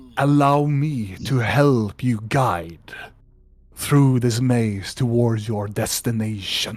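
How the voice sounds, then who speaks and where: Putting on a character voice, a man speaks at a very slow pace with a medium pitch. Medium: actual play. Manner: slow, solemn, archaic.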